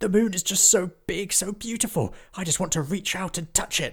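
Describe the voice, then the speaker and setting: A man puts on a character voice, high-pitched and at a moderate pace. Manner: excited, gushing.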